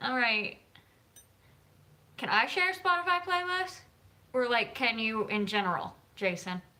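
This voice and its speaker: A woman with an American accent talks at a high pitch and a fairly slow pace. Her pitch swings very widely, broken by long, frequent pauses. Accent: Southern US, mild, stronger after drinks. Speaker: author and YouTuber. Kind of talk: casual livestream chat.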